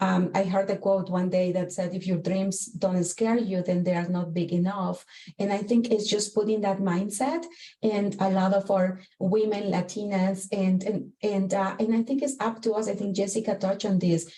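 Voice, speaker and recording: A woman with a Spanish accent, medium-pitched, at a moderate pace with fairly even intonation over noticeable background noise. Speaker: corporate executive, panelist. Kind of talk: panel discussion.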